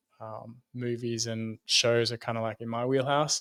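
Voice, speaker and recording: A man with an Australian accent at medium pitch and a moderate pace, monotone and flat, in a dry, close sound with no echo and a very clean, silent background. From Sydney, Australia. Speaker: brand designer and consultant. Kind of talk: podcast interview.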